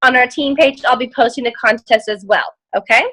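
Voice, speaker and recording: A woman speaks in a raised, projected voice with a bright, sharp tone and ordinary pitch variation. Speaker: team leader of sales ambassadors. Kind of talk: team call presentation. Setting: group video call. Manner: loud.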